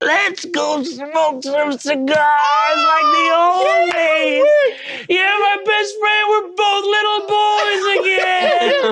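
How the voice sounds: A cartoonish character voice drags along at a very slow pace against loud background noise.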